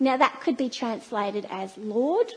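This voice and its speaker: A woman's high-pitched voice, lively intonation, fairly slow pace. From Australia. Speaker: church speaker. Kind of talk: sermon. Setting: church.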